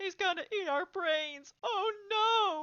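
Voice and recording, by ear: A woman shouting in a put-on character voice, extremely high in pitch, bright and sharp in tone, slow, with ordinary pitch variation.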